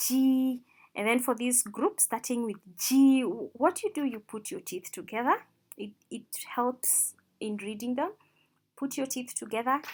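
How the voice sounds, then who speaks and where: Her voice sits high in pitch for a woman and rises and falls with lively intonation. She talks at a fairly slow pace. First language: not English or Mandarin; rolls r. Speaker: language teacher. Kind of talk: tutorial. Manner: slow, repeating sounds for practice.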